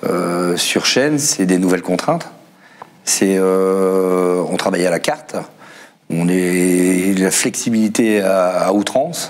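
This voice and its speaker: At a very slow pace, the speaker's pitch rises and falls an ordinary amount. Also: man, very deep, low pitch for a man. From northern France. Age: 40s. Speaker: assembly line worker and union secretary; car factory worker guest. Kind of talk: panel discussion. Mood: aggrieved, indignant. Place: studio. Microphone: lapel.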